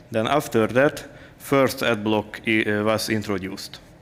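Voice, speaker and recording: Speaking at a fairly slow pace, a man holds a medium pitch. His intonation stays fairly even. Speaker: software developer. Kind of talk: conference talk. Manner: halting, many filler sounds.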